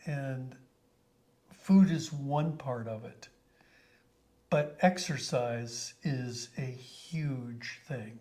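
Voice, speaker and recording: A man with an American accent speaks very slowly, his voice somewhat breathy with a dark, mellow tone at a medium pitch. He leaves long, frequent pauses, his loudness swings widely, and his pitch varies in an ordinary way. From Colorado, US. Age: 70s. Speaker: company founder. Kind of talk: interview.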